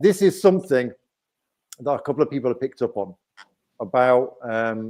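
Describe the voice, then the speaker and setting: A man with an English accent speaks at a moderate pace in a medium pitch with a dark, mellow tone. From England. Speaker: YouTuber. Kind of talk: live stream chat. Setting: live stream.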